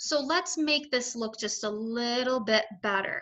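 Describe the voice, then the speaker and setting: At a very slow pace, a woman speaks in a high voice with lively intonation. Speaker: math teacher. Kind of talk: tutorial.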